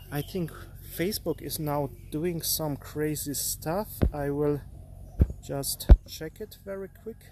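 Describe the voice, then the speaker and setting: Talking at a very slow pace with long, frequent pauses, a man with a non-native accent shows big swings in loudness. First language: not English. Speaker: artist and art career coach. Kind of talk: live stream talk. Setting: live stream. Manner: halting, with frequent fillers.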